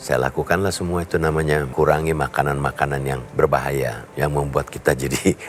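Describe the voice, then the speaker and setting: Noticeable background noise behind a man's very deep, low voice. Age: 70s. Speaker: media professional giving a product testimonial. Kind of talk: testimony.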